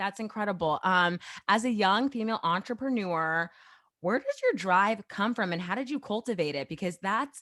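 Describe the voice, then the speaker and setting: A woman speaks at medium pitch and a moderate pace, with a bright, sharp, animated tone and lively intonation. The recording is very clean with a silent background. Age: 20s. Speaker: podcast host. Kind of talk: casual interview chat.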